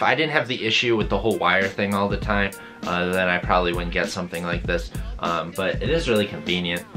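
Clear music plays in the background. A man with a very deep, low pitch speaks very fast. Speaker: vlogger. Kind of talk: casual vlog chat. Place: home room.

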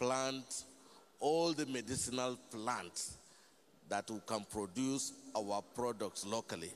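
Speaking at a fairly slow pace, a man holds a medium pitch with ordinary pitch variation.

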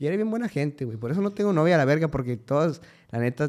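A man's dark, mellow voice with very wide pitch swings, over a quiet background. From Mexico, Cuauhtémoc, Chihuahua; Chihuahua, Mexico. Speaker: musician; podcast guest. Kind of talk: casual chat. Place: studio. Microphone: studio mic.

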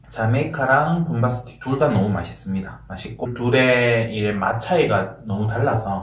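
Ordinary pitch variation and audible room echo. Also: man. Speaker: food vlogger. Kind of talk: casual mukbang chat. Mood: relaxed, friendly. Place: home room.

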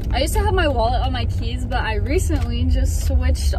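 A woman's voice with ordinary pitch variation, dry with no echo, against loud background noise. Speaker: vlogger. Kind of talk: casual vlog chat. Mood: embarrassed, animated. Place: car. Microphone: phone near.

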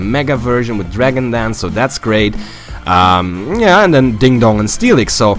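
With music playing behind him, a man speaks at a moderate pace with lively intonation. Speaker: game commentator. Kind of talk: gameplay commentary.

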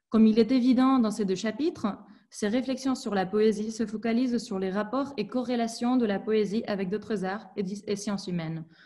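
Against a quiet background, a woman with a fairly high pitch and a dark, mellow, somewhat breathy tone speaks at a moderate pace with ordinary pitch variation. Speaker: doctoral student presenting research; presenter. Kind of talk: academic seminar presentation. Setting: video call. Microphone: video call.

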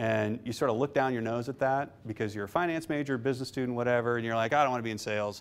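Speaking in an American accent, a man moves at a very fast pace with hardly any pauses. His intonation stays fairly even. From Nebraska, Omaha; Nebraska. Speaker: investment fund manager; guest. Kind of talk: lecture. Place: classroom.

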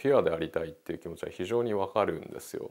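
Light noise hums in the background. A man does the talking. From Tokyo, Japan. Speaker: painter; interviewee. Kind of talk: interview. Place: studio. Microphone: lapel.

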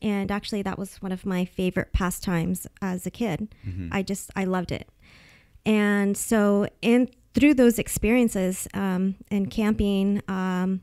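In a Californian accent, a woman speaks at a fairly slow pace with medium pitch and fairly even intonation, on a very clean recording with a silent background. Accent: Californian American English. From Northern California. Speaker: fisheries biologist. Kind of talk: podcast interview answer.

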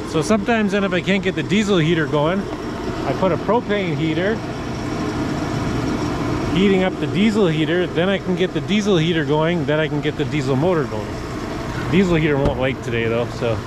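A man speaks at a fairly quick pace. Loud background noise sits behind a dry sound with no echo. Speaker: off-grid vlogger. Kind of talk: casual vlog chat. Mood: calm, matter-of-fact. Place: street. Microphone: phone near.

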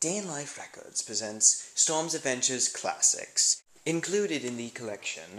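Noticeable background noise accompanies a speaker who keeps a moderate pace. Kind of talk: TV commercial read.

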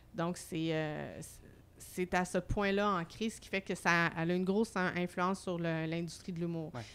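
An ordinary speaking voice, a woman's, fairly low in pitch and fairly slow, with fairly even intonation in a very clean recording over a silent background. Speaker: humour researcher and comedy school director. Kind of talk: casual chat.

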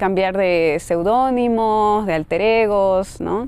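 The sound is dry, with no echo. A woman speaks with ordinary pitch variation. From Bolivia. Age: 30s. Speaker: poet. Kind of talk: interview. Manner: halting. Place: garden. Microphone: lapel.

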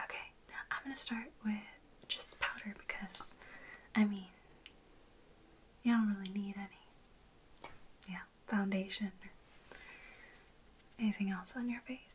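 A soft-spoken woman at a fairly slow pace, with fairly even intonation, long, frequent pauses, and light background noise. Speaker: makeup roleplay creator. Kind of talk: roleplay makeup chat to the viewer. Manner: soft-spoken, gentle close-up ASMR voice. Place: home room.

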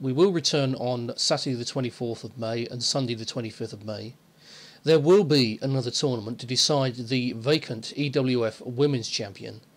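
A plain, everyday voice from a man, medium in pitch with ordinary pitch variation, at a moderate pace, with big swings in loudness. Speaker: online wrestling federation owner. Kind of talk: announcement to listeners.

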